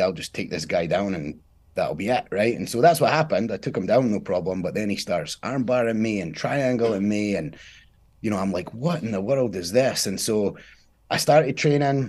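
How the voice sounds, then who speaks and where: A man with a Scottish accent, fairly low pitch, lively intonation and a fairly quick pace. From Scotland. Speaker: former Marine and jujitsu champion. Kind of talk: casual interview.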